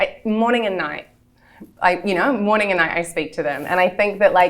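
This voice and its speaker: A woman with a New Zealand accent at medium pitch, with ordinary pitch variation and a moderate pace. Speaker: entrepreneur. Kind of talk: interview.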